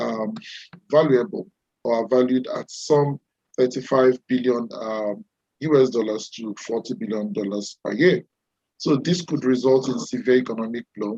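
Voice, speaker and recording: In a dry, close recording with no echo, a man with a dark, mellow tone and medium pitch speaks at a moderate pace with ordinary pitch variation. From Nigeria. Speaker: webinar presenter. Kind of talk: webinar presentation. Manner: halting, many fillers.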